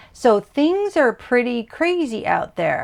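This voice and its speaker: A woman at a very slow pace, her pitch swinging very widely. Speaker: artist and ASMR creator. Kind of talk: ASMR coloring session, casual talk to camera. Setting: art studio with classical music in the background. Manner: soft-spoken, calm, soothing.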